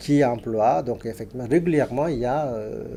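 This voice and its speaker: A man's dark, mellow tone with a Tamil accent. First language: Tamil (speaking French). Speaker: linguist, Tamil professor. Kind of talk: TV interview. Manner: halting, many hesitations.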